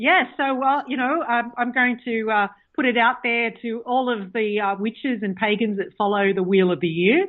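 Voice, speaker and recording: A woman with an Australian accent and a fairly high pitch speaks at a moderate pace, with ordinary pitch variation and hardly any pauses. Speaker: author and pagan practitioner. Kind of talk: interview. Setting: phone call.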